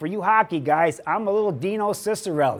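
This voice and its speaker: At a fairly quick pace, a man talks high for a man with lively intonation. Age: 60s. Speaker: doctor. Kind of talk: lecture. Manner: animated.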